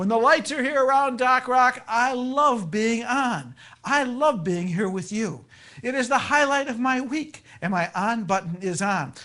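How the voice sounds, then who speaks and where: Behind the voice, everything is quiet. The delivery moves at a fairly slow pace. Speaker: radio show host. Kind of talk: radio talk show monologue. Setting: radio studio. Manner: animated.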